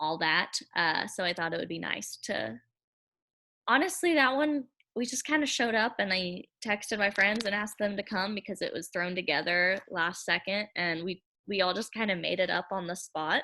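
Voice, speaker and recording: On a very clean recording with a silent background, a woman speaks at medium pitch with a bright, sharp tone and a slight country accent. Her intonation is lively and her pace moderate. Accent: slight country twang. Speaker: singer-songwriter. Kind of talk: interview.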